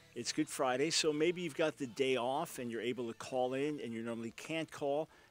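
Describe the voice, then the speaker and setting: A man talks at a moderate pace with ordinary pitch variation. The sound is dry with no echo, and faint music plays in the background. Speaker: show host. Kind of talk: radio talk show commentary. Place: studio. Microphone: studio mic.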